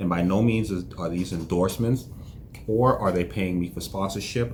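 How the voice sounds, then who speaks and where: A man's very deep, low, somewhat breathy voice at a fairly quick pace, with audible room echo. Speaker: entrepreneur vlogger. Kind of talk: casual vlog monologue. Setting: office. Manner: monotone; reserved, low-energy.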